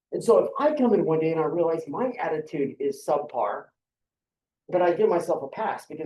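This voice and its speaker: Speaking at a fairly quick pace, a man with a high pitch uses lively intonation and big swings in loudness. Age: 50s. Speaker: university lecturer. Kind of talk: lecture. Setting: classroom. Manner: conversational.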